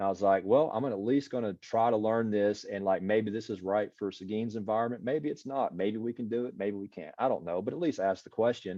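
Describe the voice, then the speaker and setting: Talking at a very fast pace with hardly any pauses, a man with an American accent uses a fairly low pitch and ordinary pitch variation. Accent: country, audible. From US South, East Texas. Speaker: city IT leader. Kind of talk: casual interview. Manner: casual, hesitant.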